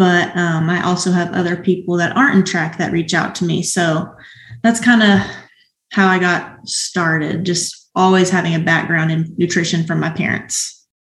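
Audible room echo surrounds a somewhat breathy voice speaking at a moderate pace with fairly even intonation. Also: woman, fairly low pitch for a woman. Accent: American. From Arkansas, US South (Springdale). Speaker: professional hurdler. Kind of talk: casual interview.

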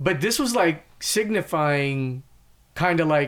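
Lively in intonation, a man with an American accent and an ordinary speaking voice talks in a fairly high pitch. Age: 40s. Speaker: podcast host. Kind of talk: casual chat.

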